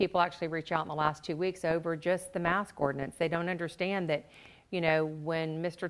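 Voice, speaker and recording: Speaking in a normal speaking voice, a woman keeps a moderate pace. Her pitch is fairly low and her intonation fairly even. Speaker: guest. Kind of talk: interview answer. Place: studio.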